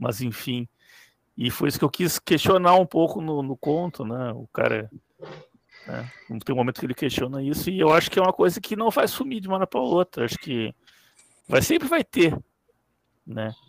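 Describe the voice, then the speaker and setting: Pitched fairly high, a man speaks with very wide pitch swings at a moderate pace. Long, frequent pauses occur, and the sound is dry and close with no echo. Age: 40s. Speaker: IT professional and fiction writer. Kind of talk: live stream interview.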